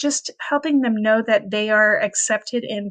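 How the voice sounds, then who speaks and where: A woman speaks at a moderate pace in a fairly high pitch, with ordinary pitch variation. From Quebec, Canada. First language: French. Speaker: teacher. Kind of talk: recorded presentation. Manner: hesitant, with filler words.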